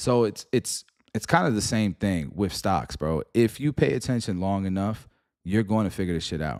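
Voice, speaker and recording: A man's plain, everyday voice, fairly low in pitch, fairly quick, with lively intonation, in a very clean recording with a silent background. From New York, Puerto Rican family. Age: middle-aged. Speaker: stock market streamer. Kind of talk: live stream commentary. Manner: casual, slangy.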